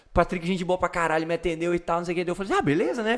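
At a very fast pace, a man speaks in a high voice with ordinary pitch variation. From Rio Grande do Sul, Brazil (Sobradinho). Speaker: podcast host. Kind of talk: casual chat.

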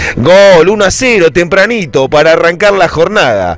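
Ordinary pitch movement from a man, with noticeable background noise behind him. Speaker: football fan commentator. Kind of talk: sports commentary, nostalgic retelling of a match. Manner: animated, passionate fan-style delivery, shouting goals; emotional, epic, rhetorical.

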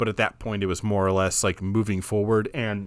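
Here is a man with a plain, everyday voice and a fairly low pitch. He keeps a moderate pace and fairly even intonation. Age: 30s. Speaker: film podcast co-host. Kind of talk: casual chat.

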